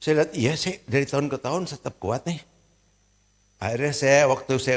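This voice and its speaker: A man speaks at a fairly quick pace with a fairly high pitch. His tone is bright and sharp. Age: 70s. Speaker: pastor. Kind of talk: sermon. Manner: conversational.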